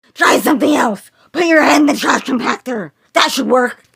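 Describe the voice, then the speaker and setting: A female-sounding, raspy, high-pitched put-on character voice at a moderate pace. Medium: fan dub. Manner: calm, steady.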